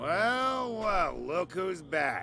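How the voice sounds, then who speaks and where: A man puts on a character voice at a high pitch, raised and projected. Clear background noise runs behind him. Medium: video game.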